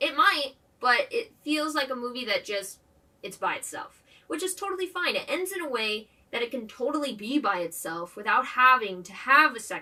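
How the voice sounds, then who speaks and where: With noticeable background noise behind her, a woman with an animated tone raises and projects her high voice, using very wide pitch swings and big swings in loudness. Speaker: movie review vlogger. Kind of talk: casual vlog commentary. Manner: fast when excited.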